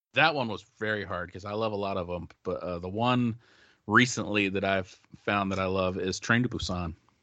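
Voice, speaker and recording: A plain, everyday voice from a man, pitched fairly low, moderate in pace, its pitch varying in an ordinary way. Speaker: guest composer of the theme song. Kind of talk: casual chat. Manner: joking, playful.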